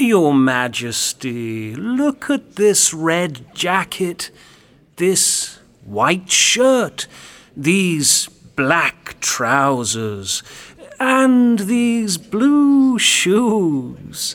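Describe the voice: A man puts on a character voice pitched high, with a fairly bright tone, big pitch swings and a very slow pace.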